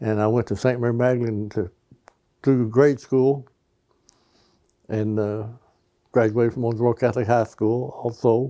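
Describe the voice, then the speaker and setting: With an American accent, a man speaks at a moderate pace in a medium pitch, his delivery flat and monotone and broken by long, frequent pauses. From western Kentucky (Daviess County). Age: 80s+. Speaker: lifelong local resident. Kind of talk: interview reminiscence. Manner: halting, with fillers.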